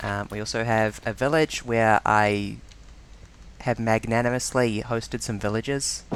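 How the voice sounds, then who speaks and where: A man with a New Zealand accent at medium pitch, fairly slow, with fairly even intonation. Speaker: streamer. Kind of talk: live gameplay commentary. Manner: halting.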